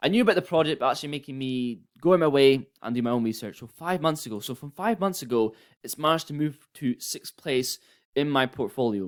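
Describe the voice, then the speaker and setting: Speaking at a fairly quick pace, a man with a fairly high voice uses lively intonation and big swings in loudness, recorded very cleanly against a silent background. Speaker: crypto YouTuber. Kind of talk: casual commentary video. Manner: fast.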